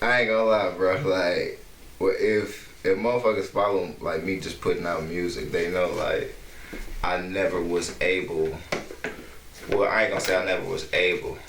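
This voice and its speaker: Noticeable background noise and audible room echo accompany this man as he talks at a moderate pace. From Detroit. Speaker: rapper. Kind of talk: casual chat. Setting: cafe. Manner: quiet, hard to hear.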